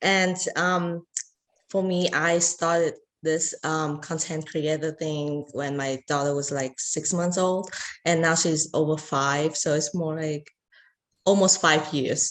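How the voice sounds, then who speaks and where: In a non-native accent, a woman with a very deep, low pitch speaks at a very slow pace in a monotone, flat intonation. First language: not English. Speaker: content creator. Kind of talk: panel discussion. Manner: halting.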